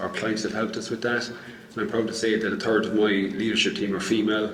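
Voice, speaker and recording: Speaking at a fairly low pitch with an Irish accent, a man is heard through audible room echo and noticeable background noise. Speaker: business owner, panellist. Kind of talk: panel discussion.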